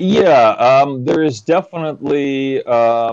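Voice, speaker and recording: A man speaks with a Russian accent. His pitch varies in an ordinary way. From Ukraine, raised in US. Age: 40s. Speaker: business development executive. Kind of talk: interview conversation.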